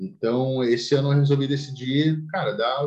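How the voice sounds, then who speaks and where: A man's somewhat breathy voice. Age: 20s. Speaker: amateur bodybuilder. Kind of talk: casual chat.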